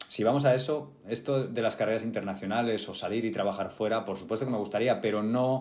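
Fairly even intonation with audible room echo. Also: man. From Spain, Getafe (Madrid). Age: 30s. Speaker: actor. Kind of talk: interview conversation.

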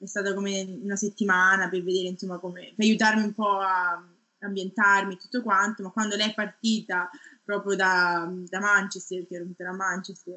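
A woman at a fairly quick pace, flat and monotone, with big swings in loudness. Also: medium pitch for a woman. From Tuscany, Italy (Garfagnana, province of Lucca). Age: 30s. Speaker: research scientist. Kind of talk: interview.

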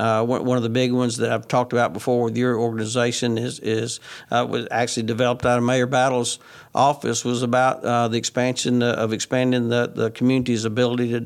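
Talking very fast in an Alabama accent, a man holds a medium pitch with monotone, flat intonation and very even loudness in a very clean recording with a silent background. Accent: Southern US (Alabama). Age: 60s. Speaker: state legislator. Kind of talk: casual interview. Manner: halting, with frequent repeated words.

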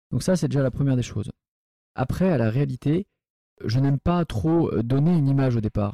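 A man's dark, mellow tone with ordinary pitch variation at a moderate pace, in a dry, close sound with no echo. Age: 40s. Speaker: restaurant entrepreneur. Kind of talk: casual chat. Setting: in a restaurant. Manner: halting.

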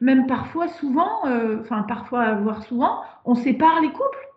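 In a room with audible echo, a woman with a high voice talks at a moderate pace, her pitch varying in an ordinary way. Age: 40s. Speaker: sexologist and couples therapist. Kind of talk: podcast interview.

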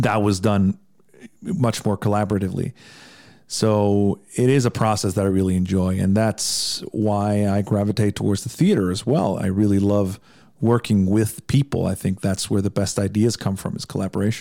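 A voice in a Midwestern US accent, dark and mellow in tone, moves at a moderate pace with fairly even intonation in a very clean recording with a silent background. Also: man, fairly low pitch for a man. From Iceland. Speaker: songwriter and podcaster. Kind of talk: casual interview chat.

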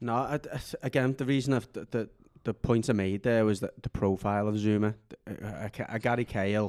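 Recorded dry and close with no echo, a man with an ordinary speaking voice talks fairly quickly at a medium pitch with fairly even intonation. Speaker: podcast host. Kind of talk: casual football chat.

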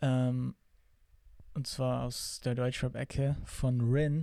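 Flat, monotone intonation marks this man's dark, mellow tone. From Bavaria, Germany (Augsburg). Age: 20s. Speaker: actor and musician. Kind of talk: casual chat.

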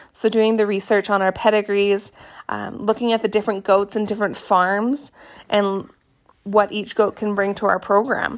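At a moderate pace, a woman speaks in a monotone, flat intonation at a medium pitch. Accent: Canadian. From Canada. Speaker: podcast host, goat farmer. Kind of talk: casual solo podcast monologue.

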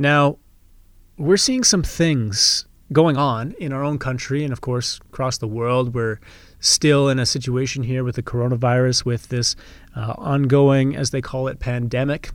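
A man speaks at a fairly slow pace, his medium pitch carried with fairly even intonation. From Canada. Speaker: podcast host, real estate investor. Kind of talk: casual monologue. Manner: off the cuff.

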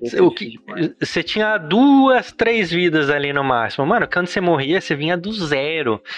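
With noticeable background noise behind him, a man speaks at a moderate pace with hardly any pauses, his high voice making very wide pitch swings. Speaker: digital marketing specialist. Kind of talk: casual chat. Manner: animated.

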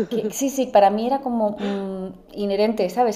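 The woman's tone is dark and mellow. She speaks at a fairly slow pace with fairly even intonation. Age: 30s. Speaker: entrepreneur and mother. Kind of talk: casual interview. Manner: halting, many repetitions.

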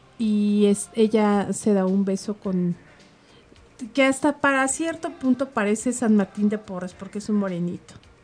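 Music plays in the background as a woman speaks at a fairly slow pace in a Mexican accent. Her pitch is medium, with ordinary variation. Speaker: radio host. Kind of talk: casual chat. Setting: studio.

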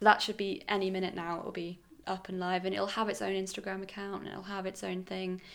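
At a fairly quick pace, a woman speaks in a medium pitch. Her intonation stays fairly even. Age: 20s. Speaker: fashion photographer. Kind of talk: interview. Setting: at home with dog nearby.

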